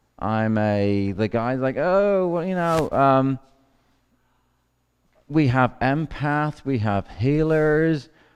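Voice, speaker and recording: Talking at a very slow pace with long, frequent pauses, a man with a Northern Irish accent and a fairly high pitch uses lively intonation. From Northern Ireland. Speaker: activist. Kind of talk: conference talk.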